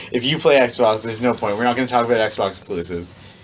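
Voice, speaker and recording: Noticeable background noise runs under the speech. The pitch varies in an ordinary way. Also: man. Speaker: podcast co-host. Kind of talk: casual chat. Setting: basement. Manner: animated.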